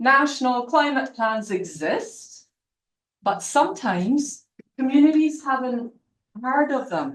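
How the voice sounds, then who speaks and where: A woman with a Scottish accent speaks at a high pitch with lively intonation. Her pace is fairly slow, and audible room echo surrounds her. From Scotland. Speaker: university lecturer. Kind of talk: lecture.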